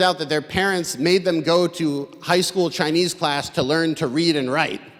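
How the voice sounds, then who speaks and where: A man with an American accent speaks at a high pitch and moderate pace with fairly even intonation over noticeable background noise. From US, Boston. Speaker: comedian. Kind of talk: stand-up; talk to audience. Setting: stage with audience. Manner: halting.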